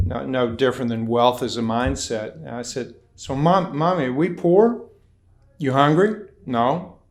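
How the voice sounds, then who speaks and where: Someone with an American accent speaks at a fairly slow pace with lively intonation, and the room echo is audible. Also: man. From US South, eastern Kentucky (Appalachia). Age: 70s. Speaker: performance coach. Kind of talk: interview.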